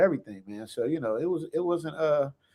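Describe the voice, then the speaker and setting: A man's animated, very fast delivery with lively intonation on a very clean recording with a silent background. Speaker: actor. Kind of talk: casual chat. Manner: animated, high-energy.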